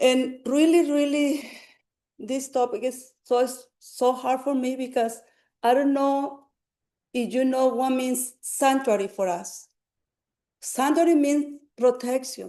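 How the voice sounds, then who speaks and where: Very slow and marked by long, frequent pauses, a woman speaks at a high pitch with fairly even intonation. Her tone is dark and mellow, set against a quiet background. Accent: non-native. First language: Spanish. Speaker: public commenter, community health worker. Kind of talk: public testimony. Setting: city council meeting. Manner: halting.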